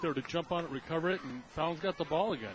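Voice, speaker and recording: Over crowd noise in the background, a man talks at a very fast pace in a fairly high pitch. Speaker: radio color commentator. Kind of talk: sports radio color commentary.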